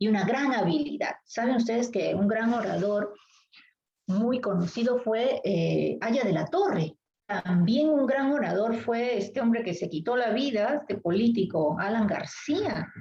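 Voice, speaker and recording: A woman's somewhat breathy, fairly high voice with a dark, mellow tone, lively intonation, very even loudness and a fairly slow pace. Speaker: literature teacher. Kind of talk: lecture.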